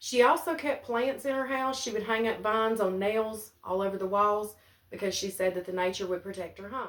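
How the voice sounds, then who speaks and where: A woman with an Appalachian accent, medium in pitch, fairly quick in pace, with ordinary pitch variation. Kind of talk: family ghost story told to camera.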